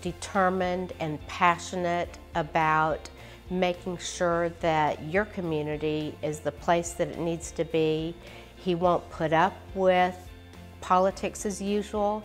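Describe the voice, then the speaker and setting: A woman's fairly low, flat, monotone voice at a very slow pace, with faint music in the background. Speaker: candidate. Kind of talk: interview answer. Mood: earnest, supportive. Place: home room.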